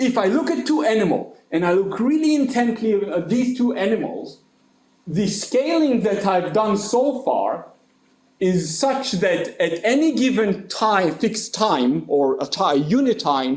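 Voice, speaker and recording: A man with a high voice speaks at a fairly slow pace, his loudness very even while his pitch swings very widely. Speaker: mathematician. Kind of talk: lecture. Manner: animated.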